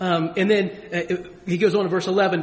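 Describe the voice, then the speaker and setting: An animated man talks with an American accent. Audible room echo is present. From Springfield, US. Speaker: pastor. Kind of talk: sermon.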